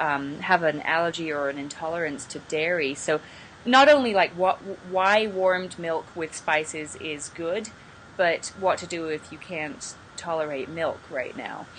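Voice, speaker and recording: A woman with a British accent talks at a fairly slow pace in a fairly low pitch, with ordinary pitch variation and big swings in loudness. Noticeable background noise sits behind her. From Britain. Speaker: yoga festival organizer. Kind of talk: casual interview.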